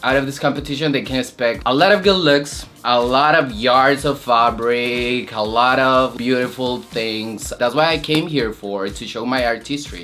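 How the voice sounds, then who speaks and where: Music plays in the background. The speaker uses a Spanish accent at a moderate pace. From Colombia. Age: 20s. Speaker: drag queen competitor. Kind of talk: interview confessional.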